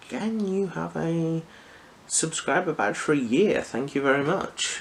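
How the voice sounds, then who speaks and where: Fairly slow speech from a man over noticeable background noise. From Liverpool area, England. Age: 20s. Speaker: ASMR youtuber. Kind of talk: Q&A chat to camera. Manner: halting, with many fillers.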